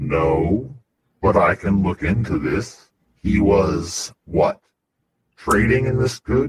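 Putting on a character voice, a man with a fairly low pitch and lively intonation speaks at a very slow pace, with long, frequent pauses. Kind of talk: stiff ceremonial speech. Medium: actual play. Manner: formal, measured, unhurried.

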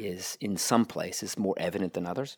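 A man's fairly low voice in an American accent, recorded very cleanly against a silent background. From United States. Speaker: mobility industry consultant. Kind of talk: interview. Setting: hotel restaurant. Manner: halting, many repetitions.

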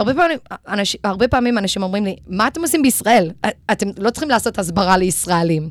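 A woman speaks at a very fast pace with a non-native accent. Her medium pitch makes very wide swings up and down. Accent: non-native Hebrew. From Los Angeles, US, then Israel from age nine. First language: English (speaking Hebrew). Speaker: Israel advocacy educator. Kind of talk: radio interview. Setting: radio studio. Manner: code-switching Hebrew and English.

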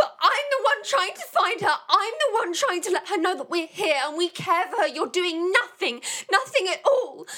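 Putting on a character voice, a woman speaks at an extremely high pitch for a woman with a bright, sharp tone, lively intonation, a moderate pace and few pauses.

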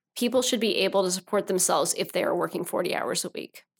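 Speaking fairly quickly with a Midwestern American accent, a woman keeps a medium pitch and ordinary pitch variation. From Northeast Missouri. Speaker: political candidate. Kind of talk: interview.

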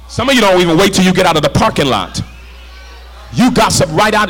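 Amid noticeable background noise, a man speaks at a very fast pace in a high pitch. His tone is animated, with ordinary pitch variation. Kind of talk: sermon. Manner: animated, call-and-response, urgent; exhorting, rhythmic, fervent.

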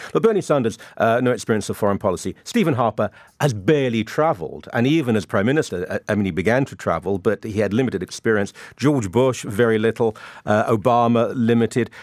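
Very fast and in a British accent, a man talks at a medium pitch with ordinary pitch variation, the sound dry and close with no echo on a very clean recording with a silent background. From UK. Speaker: author and columnist, panelist. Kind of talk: panel discussion.

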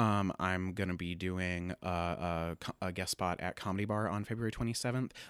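A man speaks at a moderate pace with ordinary pitch variation, the sound dry and close with no echo, in a very clean recording against a silent background. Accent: American. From US Midwest, Springfield, Illinois. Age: 20s. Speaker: stand-up comedian. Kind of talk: casual chat. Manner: animated.

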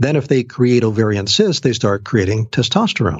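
There is a somewhat breathy quality to this man's voice. His intonation is lively. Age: 60s. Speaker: genetics researcher and naturopath. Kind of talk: interview.

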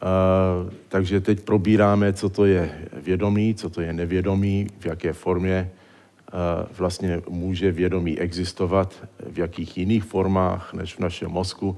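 A man's very deep, low voice with a dark, mellow tone, a non-native accent, monotone, flat intonation and a very slow pace. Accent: foreign accent in Czech. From born in exile, trained in the United States. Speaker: neurologist. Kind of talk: public lecture. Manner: halting.

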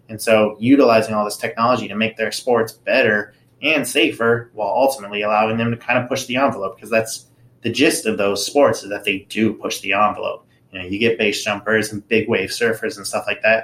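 At a fairly quick pace, a man with a medium pitch speaks in an American accent with fairly even intonation. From Southern California (Anaheim). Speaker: professor and biomechanics researcher. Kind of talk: interview.

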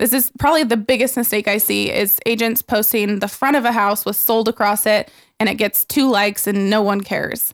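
In an ordinary speaking voice, a woman at a fairly high pitch keeps very even loudness with hardly any pauses. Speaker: real estate agent and social media speaker. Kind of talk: casual podcast interview. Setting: studio.

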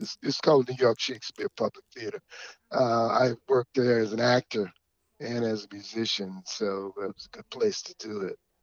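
A man's plain, everyday voice with an American accent, medium pitch and ordinary pitch variation, at a moderate pace, in a dry, close sound with no echo. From US South, Georgia. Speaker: musician and stage performer. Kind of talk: casual interview.

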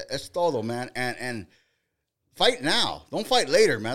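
In a very clean recording with a silent background, a man with vocal fry speaks at a moderate pace in an animated tone with very wide pitch swings. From Boyle Heights, East Los Angeles. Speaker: boxing podcast host. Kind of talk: casual chat.

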